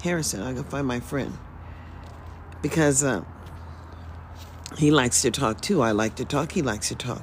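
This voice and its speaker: With an American accent and some vocal fry, a woman speaks at a moderate pace. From US South (Mississippi). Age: 60s. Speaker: livestreamer. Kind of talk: casual livestream monologue. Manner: rambling, conversational.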